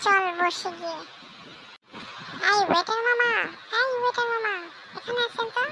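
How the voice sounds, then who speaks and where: A squeaky, cartoonish character voice at an extremely high pitch, with light background noise. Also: moderate pace. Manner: brisk, friendly.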